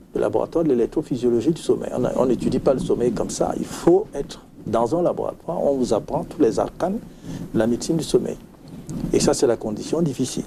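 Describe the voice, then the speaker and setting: A man talks at a fairly quick pace with noticeable background noise. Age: 60s. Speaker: retired physician, sleep medicine specialist. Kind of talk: interview.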